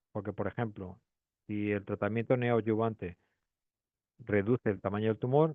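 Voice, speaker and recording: A man speaks at a fairly low pitch with a Spanish accent. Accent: Spanish (Spain). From Spain, Madrid. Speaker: pathologist. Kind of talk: lecture. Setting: webinar. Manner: hesitant, many fillers.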